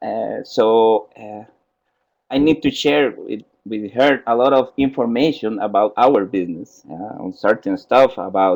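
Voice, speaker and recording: Speaking fairly slowly, the man uses a mid-range pitch that rises and falls in a normal way. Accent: Spanish. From Costa Rica. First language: Spanish. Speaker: software trainer. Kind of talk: software tutorial in webinar. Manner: halting.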